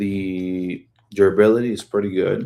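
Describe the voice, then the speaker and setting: Over a silent background on a very clean recording, the voice has a dark, mellow tone and fairly even intonation. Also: man. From Guatemala. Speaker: YouTuber and small business owner. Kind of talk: casual live chat. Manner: occasional stutter; halting, hesitant.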